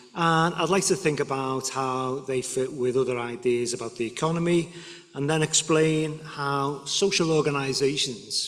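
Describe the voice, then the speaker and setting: With a Liverpool accent, a man speaks at a moderate pace and a fairly high pitch, with ordinary pitch variation and audible room echo. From northern England, Liverpool. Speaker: guest lecturer. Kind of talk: lecture. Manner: halting.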